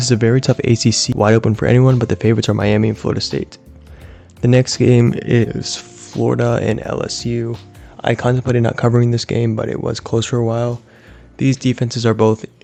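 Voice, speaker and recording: Music plays in the background as a man talks at a fairly quick pace with ordinary pitch variation. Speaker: sports commentator. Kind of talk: monologue recap. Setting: at home, late at night.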